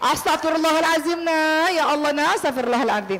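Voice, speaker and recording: In a put-on character voice, shrill and lively in intonation, someone speaks at a fairly quick pace over light background noise. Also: woman, extremely high pitch for a woman. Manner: exasperated, voice rising.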